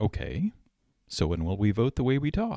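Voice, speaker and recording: The man talks at a moderate pace, the sound dry and close with no echo on a very clean recording with a silent background. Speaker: political commentator. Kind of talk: podcast monologue.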